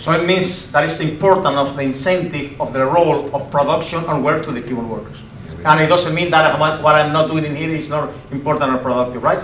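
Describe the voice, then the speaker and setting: A man speaks at a fairly quick pace with fairly high pitch and fairly even intonation, over noticeable background noise and audible room echo. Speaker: speaker on Cuban economy. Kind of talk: public talk with Q&A. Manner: halting.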